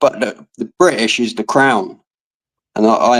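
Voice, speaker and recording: This is a man's voice at a medium pitch. He speaks with an English accent. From England. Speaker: livestream guest. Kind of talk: casual chat.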